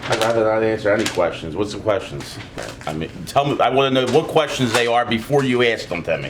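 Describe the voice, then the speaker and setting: Amid noticeable background noise, a man with an American accent speaks at a very fast pace in a medium pitch with lively intonation. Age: 30s. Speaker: butcher. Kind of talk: documentary interview.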